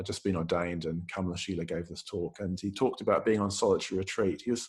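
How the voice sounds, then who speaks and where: A man speaks at a very fast pace in a fairly low pitch, his voice somewhat breathy. His intonation stays fairly even. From New Zealand. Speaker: Buddhist teacher. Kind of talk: dharma talk. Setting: video call. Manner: hesitant, many fillers.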